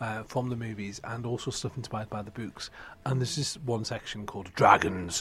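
Speaking with a British accent, a man keeps a fairly quick pace and ordinary pitch variation. There is noticeable background noise. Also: medium pitch for a man. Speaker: book podcast host. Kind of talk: casual chat. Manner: animated.

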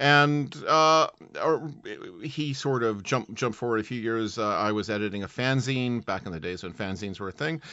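A man with a Canadian accent at a moderate pace. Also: medium pitch for a man, ordinary pitch variation. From Canada. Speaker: author and podcaster. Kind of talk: interview. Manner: halting, many repetitions.

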